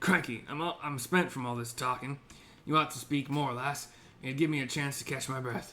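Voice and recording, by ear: Putting on a raspy character voice at medium pitch, a man talks at a moderate pace over clear background noise.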